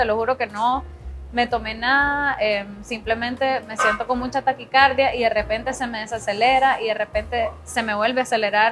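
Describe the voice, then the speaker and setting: Music plays in the background as a woman speaks at a moderate pace. Her pitch is fairly high and her intonation fairly even. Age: 20s. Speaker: singer and art director. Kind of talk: testimony.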